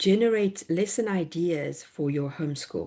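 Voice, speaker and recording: A woman with a South African accent, fairly low pitch and a dark, mellow tone uses lively intonation at a moderate pace against a quiet background. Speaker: homeschool educator and workshop presenter. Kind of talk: online workshop presentation.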